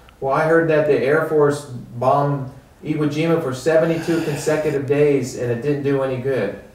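Fairly even intonation at a moderate pace, with audible room echo and light background noise. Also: man, fairly high pitch for a man. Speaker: oral history interviewer. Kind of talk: interview. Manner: earnest. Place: home room.

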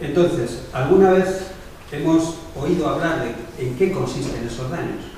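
A man's fairly high voice with ordinary pitch variation and a fairly slow pace, in strong room echo with light background noise. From Spain. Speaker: documentary maker, victims' advocate. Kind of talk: prepared speech. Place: meeting room.

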